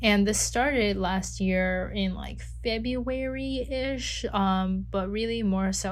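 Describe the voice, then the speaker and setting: A woman speaks at a very slow pace with hardly any pauses, with audible room echo. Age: 20s. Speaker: life coach podcast host. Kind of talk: solo podcast monologue. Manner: casual, filler-heavy.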